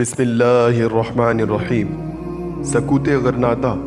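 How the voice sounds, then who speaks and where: Music sits in the background. A man's intonation stays fairly even over it. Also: medium pitch for a man. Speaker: voice artist. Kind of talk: history documentary narration.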